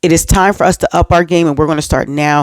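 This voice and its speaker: The recording is very clean, with a silent background and a dry, close sound with no echo. A woman talks in an animated tone. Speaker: faith and relationship vlogger. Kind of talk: motivational talk to camera. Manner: fast.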